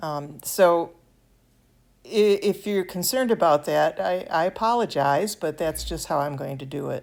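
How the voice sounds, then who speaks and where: On a very clean recording with a silent background, a woman with an American accent speaks at a moderate pace in a fairly low voice, with lively intonation and vocal fry. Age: 70s. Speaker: miniature craft hobbyist. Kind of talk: tutorial. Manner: halting, with fillers.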